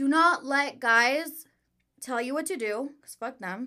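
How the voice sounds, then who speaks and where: Her raised, projected voice sits at a high pitch as the woman speaks in a very clean recording with a silent background. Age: 20s. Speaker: online content creator. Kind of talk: casual chat.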